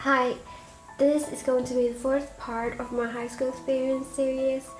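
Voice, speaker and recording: A woman's high-pitched voice comes through with music playing behind it. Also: moderate pace. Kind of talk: casual storytime talk to camera.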